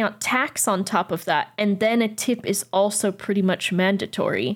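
A woman with an unremarkable speaking voice and a medium pitch talks at a fairly slow pace with ordinary pitch variation, in a very clean recording with a silent background. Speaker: co-host. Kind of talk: casual chat.

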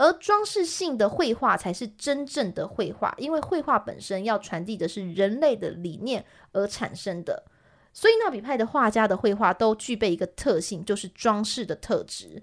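In an ordinary speaking voice, a woman with a fairly high pitch talks at a moderate pace with lively intonation over a very clean recording and silent background. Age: 30s. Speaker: podcast co-host, art presenter. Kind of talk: art history explanation in a casual podcast.

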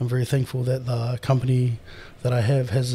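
A man with a New Zealand accent speaks at a fairly quick pace, his medium-pitched voice dark, mellow and somewhat breathy. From New Zealand, Māori. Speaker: professional strongman. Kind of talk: casual interview chat. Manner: animated.

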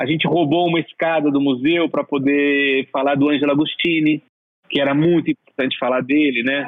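Quick and fairly even in intonation, a man talks in an unremarkable speaking voice at a fairly high pitch. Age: 40s. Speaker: art director and exhibition set designer. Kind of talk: interview.

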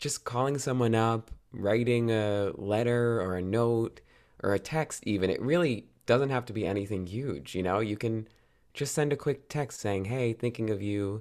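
A man with an American accent talks in an ordinary speaking voice at medium pitch, with ordinary pitch variation and a moderate pace, on a very clean recording with a silent background. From US Northeast, New Jersey. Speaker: actor and podcaster. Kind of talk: casual interview chat. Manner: laughs often, upbeat.

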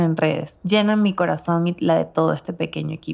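A woman talks at a fairly quick pace in a fairly low pitch. It is an unremarkable speaking voice. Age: 20s. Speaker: podcast host. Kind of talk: scripted narration. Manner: warm, intimate.

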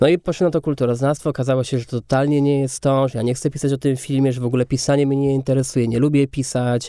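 Noticeable background noise behind a man of medium pitch with fairly even intonation. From Kędzierzyn-Koźle, Silesia, Poland. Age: 30s. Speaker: film director. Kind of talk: interview conversation.

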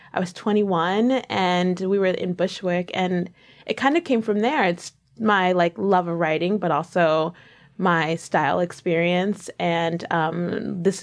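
A woman of medium pitch speaks fairly slowly in a plain, everyday voice with ordinary pitch variation. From New York. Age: 20s. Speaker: lifestyle blogger and author. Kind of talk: casual interview.

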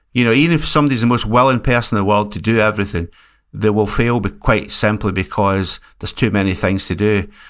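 A man with a Scottish accent speaks very fast in a fairly low voice. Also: ordinary pitch variation. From Scotland. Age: 60s. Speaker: music label owner. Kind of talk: casual chat.

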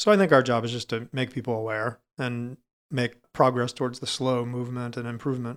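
A man with an American accent talks at a fairly quick pace in a medium pitch, with an unremarkable speaking voice and fairly even intonation, on a very clean recording with a silent background. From Florida. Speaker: cave diver and dive center director. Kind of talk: interview.

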